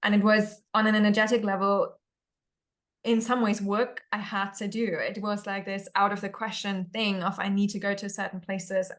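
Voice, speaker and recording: Her medium pitch flat and monotone, a woman speaks at a moderate pace. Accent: German. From Germany. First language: German. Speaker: spiritual discussion panelist. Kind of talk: casual chat. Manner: reflective, halting.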